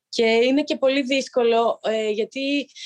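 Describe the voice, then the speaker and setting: Her pitch high with ordinary variation, a woman speaks in a dry, close sound with no echo. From Greece, village in Arta. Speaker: professional handball player. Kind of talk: interview.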